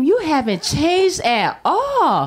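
A woman's voice on a very clean recording with a silent background. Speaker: stand-up comedian. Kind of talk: stand-up comedy. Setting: stage with audience.

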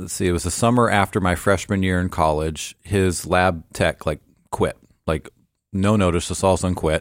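In a West Coast accent, a man with a very deep, low pitch speaks at a moderate pace, recorded very cleanly against a silent background with a dry, close sound and no echo. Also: fairly even intonation. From Portland, Oregon, US. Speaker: orthodontist. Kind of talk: interview. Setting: studio.

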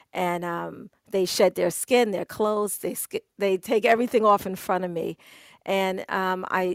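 A woman at a medium pitch with a New York accent, moderate pace and fairly even intonation, in a dry, close sound with no echo and a very clean recording with a silent background. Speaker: photographer. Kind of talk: casual chat. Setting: Clubhouse audio room.

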